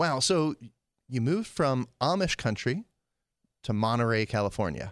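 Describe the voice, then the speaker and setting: With an American accent, a man speaks in an unremarkable speaking voice at a medium pitch and moderate pace, with lively intonation and very even loudness, recorded dry and close with no echo on a very clean, silent background. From Pennsylvania. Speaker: talk show host. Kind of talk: interview. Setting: studio.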